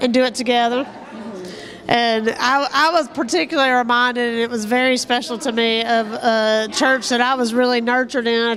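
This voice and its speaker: Speaking at a high pitch, a woman moves at a moderate pace with fairly even intonation. Noticeable background noise can be heard. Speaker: minister. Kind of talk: interview answer.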